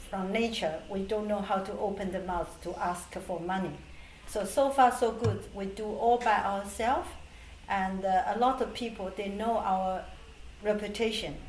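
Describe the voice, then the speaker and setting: A woman with a Chinese accent, moderate pace and fairly even intonation. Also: medium pitch for a woman. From Taiwan. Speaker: charity organisation president. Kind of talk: oral history interview answer. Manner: hesitant, with fillers.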